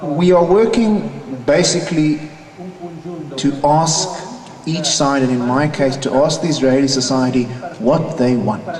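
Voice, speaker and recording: With a South African accent and a fairly high pitch, a man talks at a fairly slow pace with long, frequent pauses and ordinary pitch variation, amid noticeable background noise and audible room echo. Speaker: peace activist and conference panelist. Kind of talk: conference panel talk.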